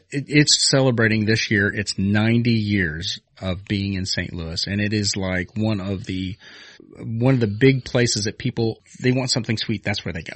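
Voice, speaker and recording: A man's ordinary speaking voice, fairly low in pitch, at a moderate pace with ordinary pitch variation. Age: 40s. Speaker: podcast co-host. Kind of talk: casual chat.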